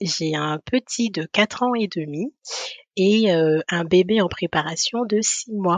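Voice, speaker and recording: Very slow in pace, a woman speaks at a medium pitch with ordinary pitch variation. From Guadeloupe. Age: 30s. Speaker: podcast guest, mother. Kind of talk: interview testimony. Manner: halting, many hesitations.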